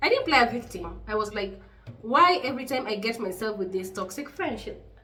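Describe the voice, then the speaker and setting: The speech moves at a fairly quick pace with lively intonation. Noticeable background noise and audible room echo surround it. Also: woman. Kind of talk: casual chat. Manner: loud; animated.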